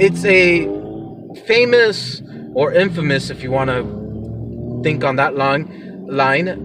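A man talks over music in the background. The sound is dry with no echo. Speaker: podcast host vlogger. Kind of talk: casual vlog chat. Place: car. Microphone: phone near.

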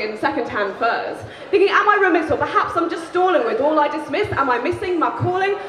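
Over noticeable background noise, a raised, projected voice moves at a fairly quick pace with very wide pitch swings. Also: woman. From England. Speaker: spoken word poet. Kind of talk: live spoken word poetry performance. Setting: live venue. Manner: shouty. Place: stage. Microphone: handheld.

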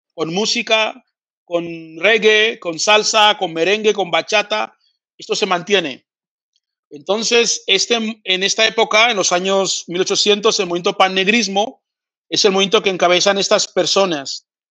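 Over a quiet background, a man projects a raised, high-pitched voice with a bright, sharp tone, speaking at a fairly slow pace with fairly even intonation. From Spain. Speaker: pan-Africanist activist and TV presenter. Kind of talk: interview lecture.

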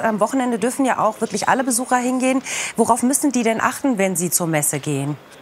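A woman talks at a very fast pace with very wide pitch swings. Light background noise is present. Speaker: news presenter. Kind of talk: studio interview. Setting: studio with video link guest. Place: studio.

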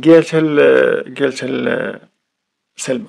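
A man with a Moroccan accent and a fairly high pitch. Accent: Moroccan Arabic (Darija). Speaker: YouTube storyteller. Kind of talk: storytelling narration of a crime case.

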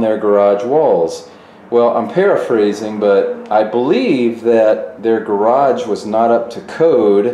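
Audible room echo fills the space as a man speaks at a very slow pace. His pitch variation is ordinary. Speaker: fitness channel host. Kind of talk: commentary. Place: gym.

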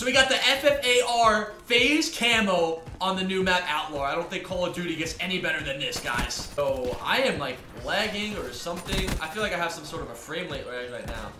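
A man speaks at a moderate pace with hardly any pauses against noticeable background noise. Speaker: YouTuber and professional gamer. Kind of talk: gameplay commentary vlog. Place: home room. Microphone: headset.

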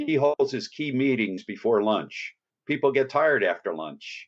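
A man with a New Jersey accent talks at a moderate pace. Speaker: fitness trainer and author. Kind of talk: podcast interview.

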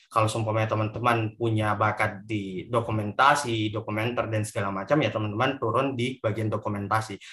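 A man talks at a fairly quick pace with hardly any pauses, his fairly low-pitched voice bright and sharp in tone with monotone, flat intonation, over a quiet background. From Indonesia, West Sulawesi. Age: 20s. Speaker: moderator. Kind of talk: moderating online talk. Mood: friendly, earnest closing remarks. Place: home room. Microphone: video call.

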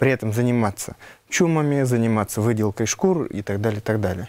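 With a Nenets accent, a man talks with ordinary pitch variation. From Yamal tundra, northern Russia; Russia. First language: Nenets (speaking Russian). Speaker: Nenets epic performer and culture keeper; guest. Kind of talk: studio interview. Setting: TV studio. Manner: hesitant, many fillers. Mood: calm, thoughtful. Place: studio.

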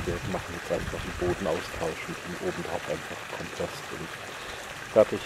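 Loud background noise behind a man's dry, echo-free voice. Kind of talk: casual vlog chat. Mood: relaxed, pleased. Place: garden. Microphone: phone near.

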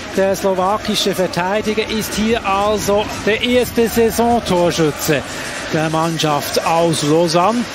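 Against noticeable background noise, the speech moves at a very slow pace with very even loudness and ordinary pitch variation. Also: man, high pitch for a man. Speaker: ice hockey commentator. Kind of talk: live sports commentary over match highlights. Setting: highlights voice-over.

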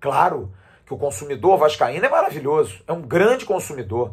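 Over a quiet background, a man with a fairly high pitch and vocal fry talks at a moderate pace, his pitch swinging very widely. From Brazil. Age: 50s. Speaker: sports commentator. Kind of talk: opinion monologue. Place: home room. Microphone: phone near.

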